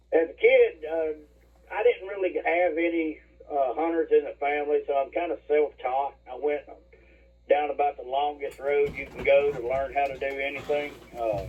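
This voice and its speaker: A man speaks at a moderate pace with an Alabama accent. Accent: Southern US (Alabama). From Alabama, moved from West Virginia at seven. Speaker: hunter. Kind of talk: casual chat. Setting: at home, remote call. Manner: hesitant, many fillers.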